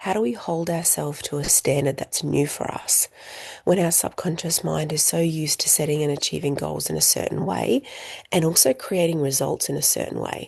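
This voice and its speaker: This woman is soft-spoken and talks at a fairly quick pace. Noticeable background noise runs underneath. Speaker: coaching teacher. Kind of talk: online group coaching call.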